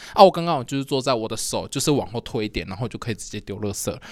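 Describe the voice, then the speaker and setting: On a very clean recording with a silent background, a man talks at a medium pitch with lively intonation. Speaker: podcast co-host. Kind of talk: casual chat. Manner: loud.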